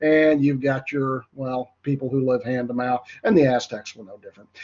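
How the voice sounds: Nasal and fairly high for a man, his voice has a slightly mellow tone and a slightly husky edge at a moderate pace.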